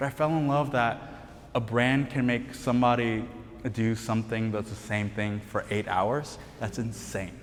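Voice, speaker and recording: A man of medium pitch speaks at a moderate pace with fairly even intonation while music plays in the background. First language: not English. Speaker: brand cofounder. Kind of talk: panel talk.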